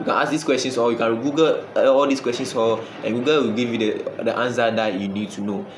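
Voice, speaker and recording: Very fast speech with hardly any pauses and ordinary pitch variation, plus audible room echo and noticeable background noise. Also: man, medium pitch for a man. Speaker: online money-making YouTuber. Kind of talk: casual talk to camera. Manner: halting, with many repeated words.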